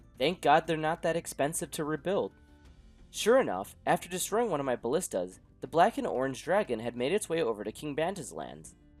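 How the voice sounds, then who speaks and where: Music plays in the background as a man speaks. His fairly high pitch makes very wide swings. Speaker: gaming YouTuber. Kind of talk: gameplay narration.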